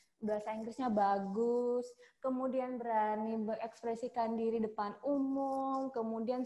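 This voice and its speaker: A woman speaks in a fairly high voice at a moderate pace. Her intonation stays fairly even. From Sumatra, Indonesia. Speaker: hotel front office worker, alumna. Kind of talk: casual interview chat. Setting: video call.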